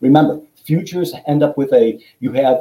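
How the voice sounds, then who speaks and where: Speaking at a moderate pace with an American accent, a man has a fairly high pitch, lively intonation and a dark, mellow, somewhat breathy tone. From Chicago, US Midwest. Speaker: commodity exchange executive, former trader. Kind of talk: interview.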